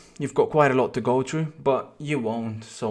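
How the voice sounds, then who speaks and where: Intonation stays fairly even as a man speaks. He has a non-native accent. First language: not English. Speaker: FIFA streamer. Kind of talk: personal video statement. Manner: halting, many repetitions.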